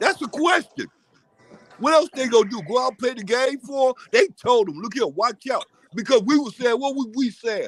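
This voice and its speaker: A man shouts at an extremely high pitch, with lively intonation and big swings in loudness at a moderate pace. Music plays in the background, and the sound is dry and close with no echo. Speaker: live show panelist. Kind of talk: casual chat. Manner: animated.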